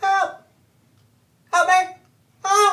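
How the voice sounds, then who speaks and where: An extremely high-pitched, put-on character voice delivers its lines in a monotone, flat intonation. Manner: calling out for help, distressed.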